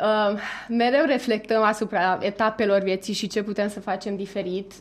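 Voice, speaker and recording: Against a quiet background, a woman speaks at a moderate pace with a medium pitch and fairly even intonation. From Romania, Transylvania, outside Cluj. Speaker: corporate manager. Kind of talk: radio interview. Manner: hesitant, many fillers.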